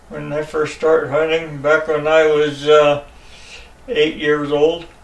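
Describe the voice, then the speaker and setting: Over noticeable background noise, a man with an American accent speaks in a monotone, flat intonation at a fairly high pitch. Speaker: hunter. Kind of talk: interview answer.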